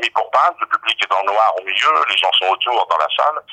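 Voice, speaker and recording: A man speaks at a fairly quick pace. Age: 60s. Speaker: stage actor. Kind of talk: recorded interview.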